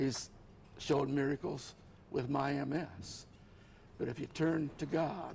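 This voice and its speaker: At a fairly slow pace with long, frequent pauses, a man talks in a fairly high pitch and a somewhat breathy voice. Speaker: author with multiple sclerosis. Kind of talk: TV interview.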